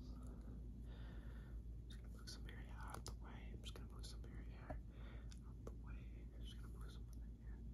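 Whispering at a fairly quick pace, a man keeps his loudness very even. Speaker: ASMR creator. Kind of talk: ASMR personal attention role play. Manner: whispered.

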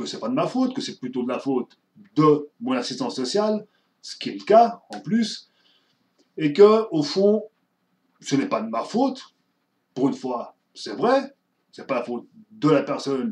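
Long, frequent pauses break up speech that has very wide pitch swings and big swings in loudness. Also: man. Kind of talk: casual vlog chat. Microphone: webcam.

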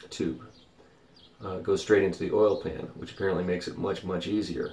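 Very deep, low pitch in a man's voice. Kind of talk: casual vlog chat. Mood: mildly frustrated, reflective. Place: boat. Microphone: phone near.

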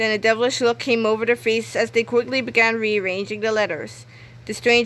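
The recording holds a natural reading voice.

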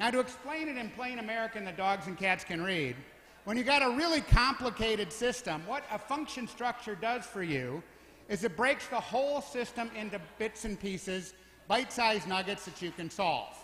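A man with a high pitch uses a raised, projected voice and lively intonation, with audible room echo and light background noise. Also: moderate pace. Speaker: design school professor and event emcee; design school professor, event emcee. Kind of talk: tribute speech. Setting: stage with audience. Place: hall. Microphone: handheld.

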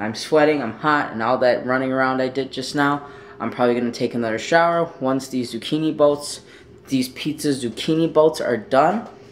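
Light background noise sits behind a man talking. He speaks fairly quickly with fairly even intonation. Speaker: vlogger. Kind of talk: casual vlog chat. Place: kitchen. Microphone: phone near.

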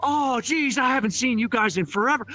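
A put-on character voice at a moderate pace, with faint music in the background. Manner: grieving, vengeful.

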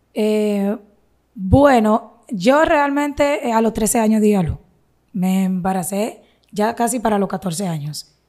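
A woman's fairly high, dark and mellow voice with lively intonation, at a very slow pace over a quiet background. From Dominican Republic, Santiago; Dominican Republic. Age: 20s. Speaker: social media content creator. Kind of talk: interview, personal life story. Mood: earnest, sometimes aggrieved. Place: studio. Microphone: studio mic.

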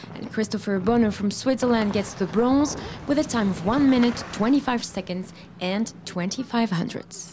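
A woman talks at a fairly slow pace with a fairly high pitch and ordinary pitch variation. Noticeable background noise sits behind her. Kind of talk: news reading of medal results. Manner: brisk, even, formal reading of scores and times.

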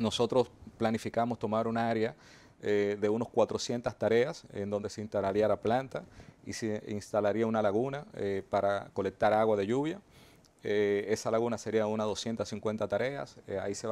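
Fairly low in pitch, a man speaks at a moderate pace with fairly even intonation. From Dominican Republic, Azua; Dominican Republic. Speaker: mining company executive. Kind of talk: TV interview. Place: studio. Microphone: lapel.

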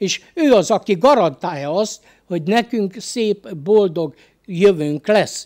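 Against a quiet background, a man speaks at a very slow pace. His intonation is lively. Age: 70s. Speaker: lay preacher. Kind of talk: sermon. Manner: halting. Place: studio. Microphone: studio mic.

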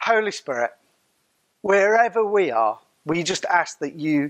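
The background stays quiet. Through it, a man speaks very slowly. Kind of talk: welcome and spoken prayer. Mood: warm, prayerful. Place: hall. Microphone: lapel.

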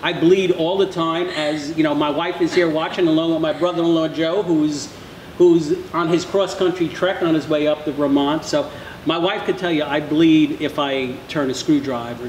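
A man at a moderate pace with fairly even intonation, audible room echo and light background noise. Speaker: podcast host. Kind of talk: interview question. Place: bar.

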